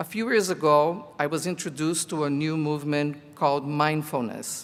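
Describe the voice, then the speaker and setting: A man with a Portuguese accent, fairly high-pitched, speaking at a fairly slow pace with fairly even intonation. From Brazil (Rio de Janeiro). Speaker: college teacher, commencement speaker. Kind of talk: commencement speech.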